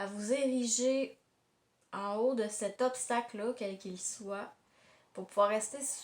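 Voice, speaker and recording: In a Quebec accent, a woman speaks very slowly at a fairly high pitch with fairly even intonation, big swings in loudness and long, frequent pauses. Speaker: tarot card reader. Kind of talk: tarot reading monologue. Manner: halting, many hesitations.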